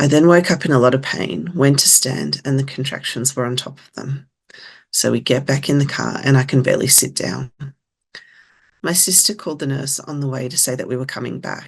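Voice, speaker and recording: A woman with an Australian accent speaks at a fairly quick pace in a very deep, low pitch with ordinary pitch variation. Her loudness swings widely, and vocal fry shows through. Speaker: lived experience advisor. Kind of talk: presentation. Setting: webinar.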